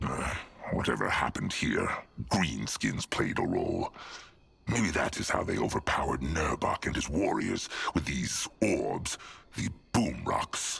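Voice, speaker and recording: Putting on a character voice, a man speaks at a moderate pace in a very deep, low pitch, with long, frequent pauses. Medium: video game. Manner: speaks of himself in third person.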